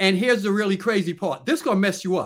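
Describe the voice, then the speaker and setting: The very clean recording, with a silent background, captures a man speaking with an American accent. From New York, Long Island. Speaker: Marine Corps veteran. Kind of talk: interview.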